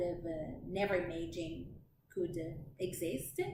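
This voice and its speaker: In an Italian accent, a woman speaks with audible room echo around her. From Italy. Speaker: lifestyle vlogger. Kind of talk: casual chat. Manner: halting.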